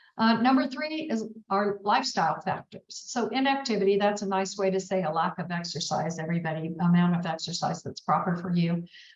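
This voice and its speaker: Against noticeable background noise, a woman speaks fairly quickly in a medium pitch with lively intonation. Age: 70s. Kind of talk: webinar presentation. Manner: animated.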